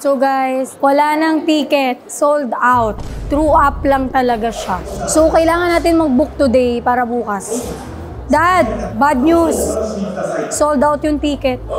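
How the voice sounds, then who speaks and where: A woman talks at a very slow pace with a high pitch. Her pitch varies in an ordinary way, and music plays in the background. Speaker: vlogger. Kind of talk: casual vlog.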